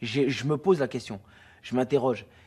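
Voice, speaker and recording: A man at a medium pitch, speaking at a fairly quick pace. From Guadeloupe. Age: 30s. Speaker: theatre director. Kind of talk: interview. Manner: hesitant, many fillers and repetitions.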